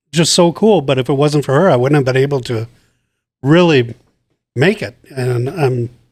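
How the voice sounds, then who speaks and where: A man's speech moves at a fairly slow pace and has ordinary pitch variation. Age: 60s. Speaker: cancer survivor, host's father. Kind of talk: family interview, personal testimony.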